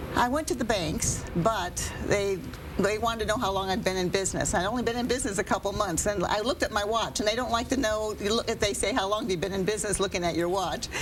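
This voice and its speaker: Noticeable background noise sits behind very fast speech that has hardly any pauses. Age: 60s. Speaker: entrepreneur, inventor. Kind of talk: live TV interview. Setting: TV studio.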